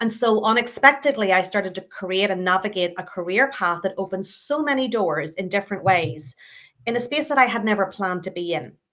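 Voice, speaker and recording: In a very clean recording with a silent background, a woman talks fairly quickly at a medium pitch, her tone bright and sharp and her intonation lively. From Northern Ireland. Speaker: customer experience and innovation leader. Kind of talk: interview conversation.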